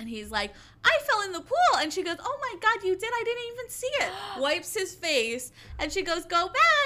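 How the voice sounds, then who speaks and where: A raised, projected voice with a bright, sharp, animated tone moves at a moderate pace through very wide pitch swings. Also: woman. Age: 20s. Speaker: podcast co-host. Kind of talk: casual chat.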